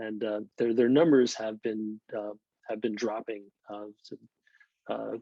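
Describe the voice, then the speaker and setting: This man has a normal speaking voice, fairly low in pitch, with an American accent and fairly even intonation. He talks at a fairly slow pace, and his loudness swings widely. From northeastern United States. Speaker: birder and English instructor. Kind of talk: online presentation talk. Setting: video call.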